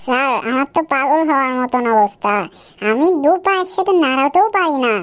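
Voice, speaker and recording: Using a cartoonish character voice, a woman speaks at a high pitch with lively intonation. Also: moderate pace. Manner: anxious.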